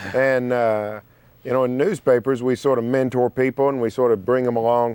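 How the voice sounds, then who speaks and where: Here a man speaks with an Oklahoma accent. He talks at a fairly quick pace. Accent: Oklahoma twang. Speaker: sports writer and radio host. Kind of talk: TV talk show interview.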